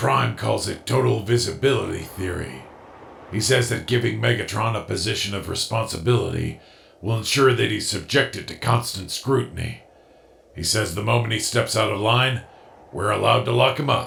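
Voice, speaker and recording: A man's raspy, put-on character voice at medium pitch and moderate pace. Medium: fan dub. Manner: dry, sardonic.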